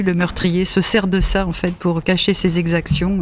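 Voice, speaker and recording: A woman's fairly low voice in a monotone, flat delivery, over noticeable background noise. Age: 70s. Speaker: library patron. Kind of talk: casual chat.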